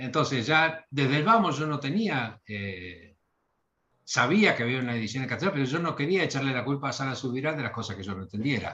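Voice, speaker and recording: A fairly quick, bright, sharp voice with lively intonation, in a Rioplatense accent. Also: man, medium pitch for a man. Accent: Argentine Rioplatense Spanish. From Argentina, Bahía Blanca. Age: 60s. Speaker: literary translator. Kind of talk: interview. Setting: video call. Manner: hesitant, with fillers.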